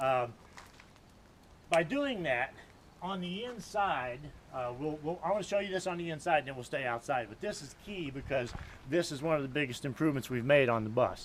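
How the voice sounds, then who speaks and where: A man's fairly high, lively voice with long, frequent pauses, amid noticeable background noise. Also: moderate pace. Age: 60s. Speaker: bus conversion vlogger. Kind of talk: video tour. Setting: outdoors. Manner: animated.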